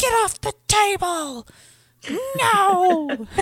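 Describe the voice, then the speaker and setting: A female-sounding put-on character voice pitched extremely high. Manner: bossy, scolding.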